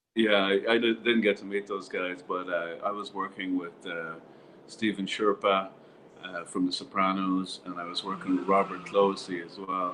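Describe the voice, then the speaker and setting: A man with a fairly low pitch and monotone, flat intonation, with noticeable background noise. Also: moderate pace. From Ireland. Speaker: actor. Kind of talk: interview answer. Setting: online call, audio only.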